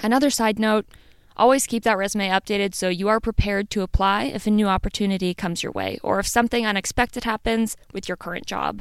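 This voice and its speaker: On a very clean recording with a silent background, a woman with a Midwestern American accent talks very fast at a medium pitch with fairly even intonation. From US Midwest. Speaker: podcast host. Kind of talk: solo podcast monologue.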